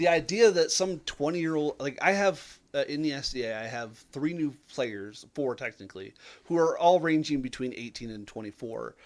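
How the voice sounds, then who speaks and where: A man speaks in a plain, everyday voice with a fairly high pitch. His intonation is lively. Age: 30s. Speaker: tabletop game player. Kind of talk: casual chat.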